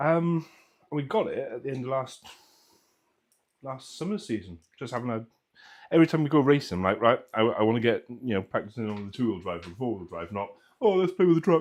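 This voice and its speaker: A Welsh-accented voice with very wide pitch swings, big shifts in loudness and long, frequent pauses, over a quiet background. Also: man, medium pitch for a man, fairly quick pace. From Wales. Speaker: RC hobby livestream host. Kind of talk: casual chat. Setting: live stream.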